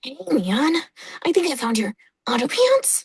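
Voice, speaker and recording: A female-sounding voice puts on a character, pitched high. She speaks at a moderate pace. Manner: casual, joking.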